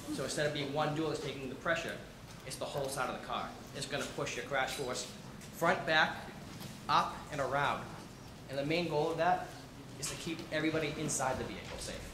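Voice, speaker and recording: This man talks at a fairly quick pace in a fairly high pitch with monotone, flat intonation, breaking into long, frequent pauses amid noticeable background noise and audible room echo. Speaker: car dealership product specialist. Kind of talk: presentation to audience. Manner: fast.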